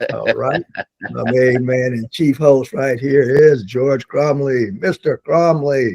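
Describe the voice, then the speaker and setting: A man with an American accent speaks at a very slow pace and medium pitch with ordinary variation. The sound is dry and close with no echo. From Detroit, US Midwest. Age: old. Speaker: podcast co-host. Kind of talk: casual chat. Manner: animated.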